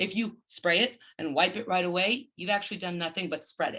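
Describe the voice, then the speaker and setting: A woman speaks with a bright, sharp tone. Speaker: business owner presenting her company. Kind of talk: business presentation.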